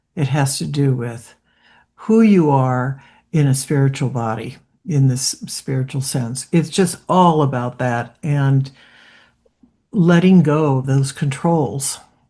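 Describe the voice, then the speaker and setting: Very slowly, a woman speaks in a very deep, low voice with a dark, mellow tone and ordinary pitch variation. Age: 60s. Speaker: participant in online group talk. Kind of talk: casual group discussion comment. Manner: halting.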